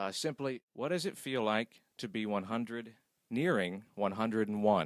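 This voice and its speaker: Speaking at a fairly slow pace, a man with an ordinary speaking voice uses lively intonation at a medium pitch. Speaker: radio reporter. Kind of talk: radio interview questions.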